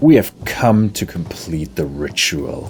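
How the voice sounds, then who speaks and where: In a put-on character voice, a man speaks at a very deep, low pitch and a fairly slow pace. Background noise is clearly heard. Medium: video game. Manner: grim, steady.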